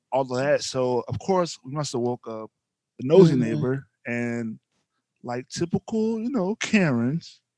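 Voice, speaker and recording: In a dry, close sound with no echo, a man with a dark, mellow tone speaks fairly slowly at a medium pitch with lively intonation. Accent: Louisiana. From North Louisiana. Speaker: podcast host, husband. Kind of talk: casual chat.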